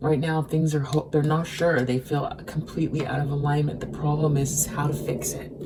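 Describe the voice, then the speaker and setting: A woman speaks with a very deep, low pitch. Noticeable background noise runs underneath. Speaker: tarot reader. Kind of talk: tarot reading. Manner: slow and careful.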